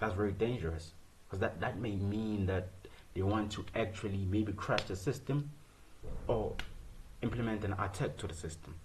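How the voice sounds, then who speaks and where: A man speaks with a fairly low pitch and ordinary pitch variation, sounding somewhat breathy. He leaves long, frequent pauses, and the room echo is audible. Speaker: student presenting software project. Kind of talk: screen-share code walkthrough. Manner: fast; rhetorical questions, repetitive fillers.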